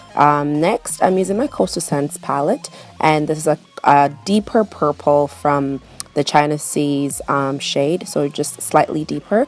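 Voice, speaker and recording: Music sits in the background behind a woman with a very deep, low pitch. She keeps a moderate pace and ordinary pitch variation. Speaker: beauty vlogger. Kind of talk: makeup tutorial.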